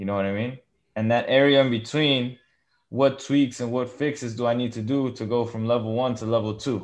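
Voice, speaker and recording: A man speaks at a fairly quick pace and medium pitch. His is an unremarkable speaking voice. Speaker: podcast host. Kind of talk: interview, casual chat. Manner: friendly, upbeat.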